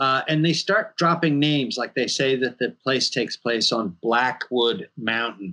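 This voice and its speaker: A man with an American accent speaks in a bright, sharp tone with lively intonation, at a fairly slow pace with hardly any pauses. The background is quiet. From New York. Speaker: horror filmmaker and game writer. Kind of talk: interview. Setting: video call. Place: home room.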